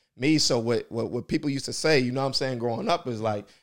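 At a very fast pace, a man with an American accent talks at a medium pitch. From US Midwest, Indianapolis. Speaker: real estate investor. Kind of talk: casual interview.

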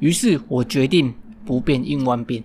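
This recording is very clean, with a silent background. A man is speaking. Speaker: podcast host. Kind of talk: storytelling monologue. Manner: halting, many fillers.

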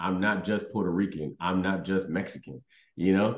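A man talks fairly slowly in an American accent. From Houston, Texas. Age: 30s. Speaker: comedian. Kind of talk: casual interview chat. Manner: halting, many fillers and repeats.

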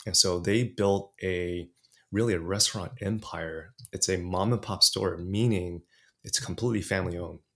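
A man's very deep, low voice at a moderate pace, fairly even in intonation, on a very clean recording with a silent background. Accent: American. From California, US (Los Angeles). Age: 40s. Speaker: podcaster and coach. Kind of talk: interview conversation.

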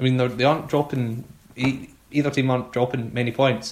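This man has a Scottish accent. His voice sits at a medium pitch. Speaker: football podcast host. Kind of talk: casual chat.

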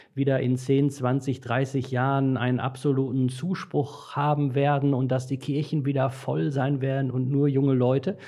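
This is a normal speaking voice from a man at medium pitch. He goes at a fairly slow pace. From Dortmund, Ruhr area, Germany. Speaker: priest trainer and author. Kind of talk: casual chat.

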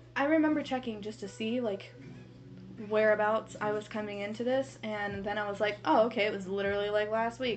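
In an ordinary speaking voice, a woman talks at a fairly quick pace, her fairly high pitch showing ordinary variation. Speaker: podcast co-host. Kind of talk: casual chat. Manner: excitable.

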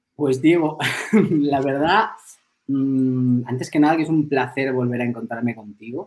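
Pitch varies in an ordinary way while the speaker goes along fairly slowly. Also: man, medium pitch for a man. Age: 40s. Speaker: film teacher and philosopher. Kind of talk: interview conversation. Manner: hesitant, frequent repetitions.

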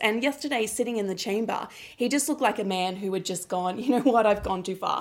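A woman with an Australian accent. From South Australia. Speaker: political commentator. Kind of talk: casual chat.

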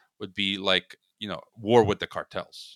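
A man speaks in a Chicago accent with a bright, sharp tone. The sound is dry and close, with no echo. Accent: American, Chicago. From US Midwest, Chicago, Croatian immigrant parents. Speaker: podcast host and geopolitics commentator. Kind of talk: casual interview. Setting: remote call.

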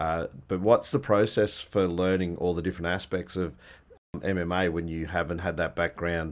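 Over a quiet background, a man with an Australian accent speaks at a very deep, low pitch, at a moderate pace, with fairly even intonation. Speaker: podcast host. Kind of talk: interview.

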